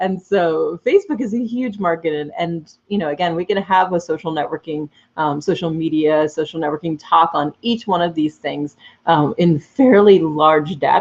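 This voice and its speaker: This woman has a fairly low pitch. Her pitch varies in an ordinary way. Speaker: social media coach. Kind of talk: webinar presentation. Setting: live video webinar. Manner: fast; hesitant, lots of fillers.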